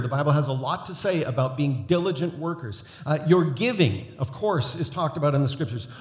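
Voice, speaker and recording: A very fast, somewhat breathy male voice with ordinary pitch variation and audible room echo. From North America. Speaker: guest preacher. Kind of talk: sermon. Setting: church.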